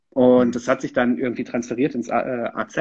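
This man speaks at a fairly quick pace. His pitch sits in the medium range. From Sauerland, Germany (Lüdenscheid). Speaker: political staffer. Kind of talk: casual interview. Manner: hesitant, many fillers.

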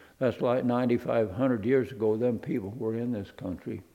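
At a fairly slow pace, a man talks in a dark, mellow tone at a medium pitch. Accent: American. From Arizona. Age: 80s. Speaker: rancher. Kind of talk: interview.

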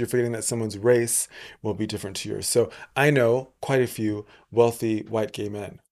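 Someone with an American accent and a plain, everyday voice talks at a fairly quick pace on a very clean recording with a silent background. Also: man. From England, part of youth in Texas and Atlanta. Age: 30s. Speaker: podcast host. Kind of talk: casual interview.

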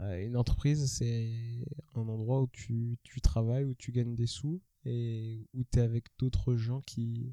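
A man's medium-pitched, dark, mellow voice at a fairly slow pace with fairly even intonation, in a dry, close sound with no echo. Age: 20s. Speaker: podcast host. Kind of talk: casual chat.

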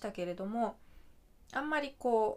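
In an unremarkable speaking voice, a woman talks at a moderate pace. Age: 30s. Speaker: podcaster. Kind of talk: casual chat.

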